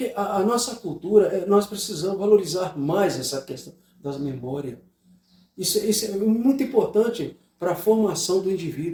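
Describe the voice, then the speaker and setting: Lively in intonation, a man with a high voice talks at a moderate pace. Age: 70s. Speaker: teacher, interview guest. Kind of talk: casual interview, reminiscing. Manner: halting, repeats words.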